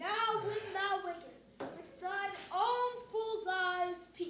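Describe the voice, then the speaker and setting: A man's put-on character voice, extremely high in pitch and very slow, with clear background noise and slight echo. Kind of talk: Shakespearean stage verse. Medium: stage play.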